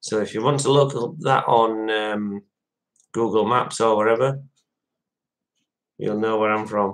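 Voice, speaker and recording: With a Yorkshire accent, a man speaks at medium pitch and a fairly slow pace, with fairly even intonation and long, frequent pauses. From West Yorkshire, Dewsbury. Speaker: live streamer. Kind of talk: casual chat.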